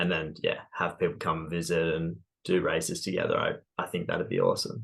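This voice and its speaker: An Australian accent comes from a man speaking at a fairly quick pace. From Australia, Sydney Hills district. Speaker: runner, running shoe store worker, ex-engineer. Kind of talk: podcast interview.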